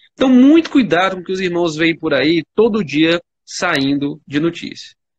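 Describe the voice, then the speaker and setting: A man's high-pitched voice carries lively intonation at a moderate speed. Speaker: church elder and intensive care doctor. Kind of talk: livestream Q&A explaining medical topics. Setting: online livestream. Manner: few pauses.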